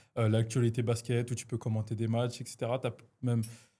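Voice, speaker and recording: This man has a dark, mellow tone and talks at a moderate pace on a very clean recording with a silent background. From Lyon, France. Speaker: podcast host. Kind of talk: casual interview. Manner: hesitant, many fillers.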